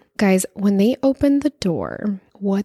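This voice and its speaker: A woman talks in a medium-pitched, somewhat breathy voice with a dark, mellow tone and ordinary pitch variation. The sound is dry and close, with no echo. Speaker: true crime podcast host. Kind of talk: storytelling narration. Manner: conversational.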